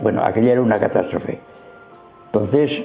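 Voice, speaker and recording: With music in the background, a man speaks with fairly even intonation. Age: 80s+. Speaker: retired pediatrician. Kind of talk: interview answer. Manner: friendly.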